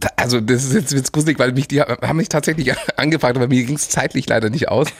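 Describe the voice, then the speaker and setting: A man speaking at a very fast pace, with ordinary pitch variation. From Munich, Bavaria. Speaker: podcast host. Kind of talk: interview.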